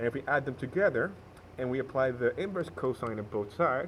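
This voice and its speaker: A man speaks with a non-native accent at a medium pitch. His pitch varies in an ordinary way. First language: not English. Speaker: math tutorial maker. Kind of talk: tutorial. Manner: hesitant, with fillers and self-corrections.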